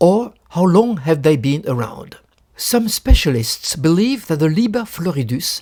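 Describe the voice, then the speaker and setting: With a French accent, a man talks at a moderate pace in a high pitch with lively intonation. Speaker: book collector. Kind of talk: lecture.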